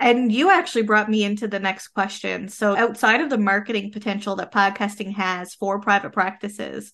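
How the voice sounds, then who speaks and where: A woman uses a normal speaking voice at a medium pitch. Her pace is moderate and her intonation fairly even. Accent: Canadian. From Canada. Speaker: podcast host and business coach. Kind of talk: interview.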